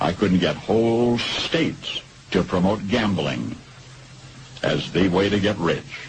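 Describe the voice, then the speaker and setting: Noticeable background noise surrounds a man talking at a fairly low pitch. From United States. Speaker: radio broadcaster. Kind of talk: radio commentary.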